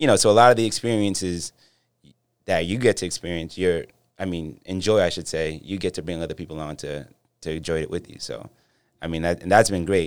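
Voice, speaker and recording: A very deep, low-pitched man's voice with an American accent, fairly quick and fairly even in intonation. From Boston, Dorchester. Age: 40s. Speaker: nightlife event promoter and brand representative. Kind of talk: casual chat.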